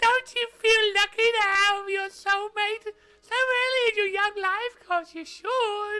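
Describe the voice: Squeaky, extremely high-pitched put-on character voice at a fairly slow pace.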